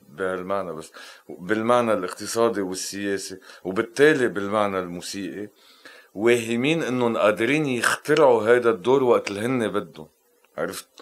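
A man's plain, everyday voice at medium pitch and moderate pace, with ordinary pitch variation and big swings in loudness. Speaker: composer and musician. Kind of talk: interview conversation.

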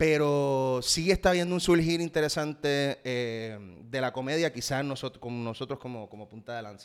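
Speaking at a fairly quick pace, a medium-pitched man uses an ordinary speaking voice with ordinary pitch variation in a very clean recording with a silent background. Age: 30s. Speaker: actor and salsa musician. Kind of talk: casual interview.

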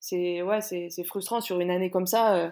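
The speech keeps a fairly even intonation at a moderate pace, in a very clean recording with a silent background. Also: woman. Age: 30s. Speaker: CrossFit athlete and coach. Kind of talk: interview.

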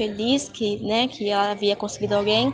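A woman speaks with a fairly high pitch and fairly even intonation while music plays in the background. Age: 20s. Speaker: psychology student and dance teacher. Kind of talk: panel discussion.

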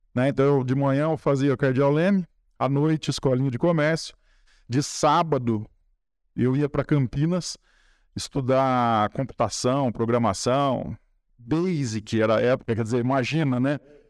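Using a normal speaking voice, a man talks at a medium pitch and moderate pace with ordinary pitch variation and very even loudness, in a dry, close sound with no echo and a very clean recording with a silent background. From Brazil, São Paulo state (Espírito Santo do Pinhal). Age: 50s. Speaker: environmental lawyer. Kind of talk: podcast interview.

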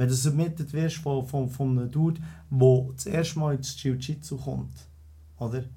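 A man with a Bernese accent talks at a moderate pace and a medium pitch, with ordinary pitch variation. His dark, mellow tone is somewhat breathy, and audible room echo surrounds it. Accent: Bernese Swiss German. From Switzerland, Bern. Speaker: entrepreneur. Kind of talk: casual chat.

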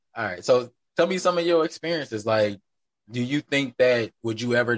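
A man with an American accent and a normal speaking voice, medium pitch, moderate pace, dry and close sound with no echo. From Wisconsin. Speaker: podcast host. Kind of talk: casual chat.

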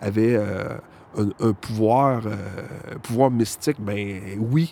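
A man speaks with a Quebec accent and ordinary pitch variation. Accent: Québécois French. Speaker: guitar repair technician. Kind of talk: casual chat. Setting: outdoors.

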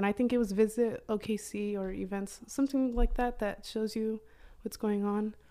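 A woman with an American accent and an ordinary speaking voice, fairly high in pitch, at a moderate pace with fairly even intonation. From Oklahoma. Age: 20s. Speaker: photographer. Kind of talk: casual chat.

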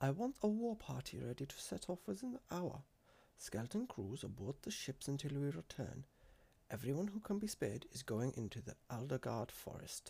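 A man puts on a character voice with a dark, mellow tone, a slightly husky edge and vocal fry. His medium pitch makes big swings at a moderate pace.

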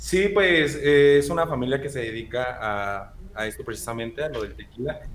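With a Mexican accent, a man speaks at a medium pitch and moderate pace with lively intonation over noticeable background noise. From Mexico, Michoacán (La Piedad). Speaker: podcast co-host. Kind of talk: casual chat.

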